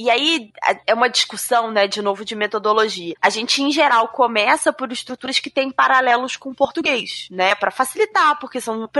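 A woman speaks at a high pitch and a moderate pace, with ordinary pitch variation and hardly any pauses. The sound is dry and close with no echo, though there is noticeable background noise. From Brazil. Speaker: English teacher. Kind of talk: casual panel discussion.

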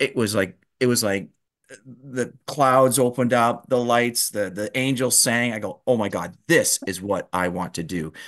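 A man speaks in an unremarkable speaking voice at a moderate pace. His pitch is medium with ordinary pitch variation, against a quiet background. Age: 50s. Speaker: chiropractor. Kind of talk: casual interview.

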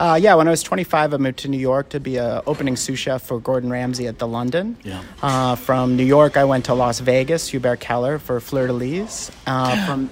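There is noticeable background noise as a man speaks with hardly any pauses. His pitch varies in an ordinary way. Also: medium pitch for a man, moderate pace. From Canada, Vancouver. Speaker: chef. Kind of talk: interview. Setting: restaurant.

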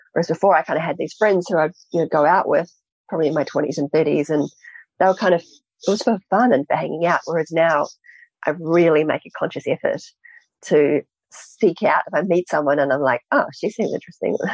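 Speaking at a fairly quick pace with a New Zealand accent, a woman uses a fairly low pitch and ordinary pitch variation in a dry, close sound with no echo. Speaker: author and entrepreneur. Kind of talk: interview. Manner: halting.

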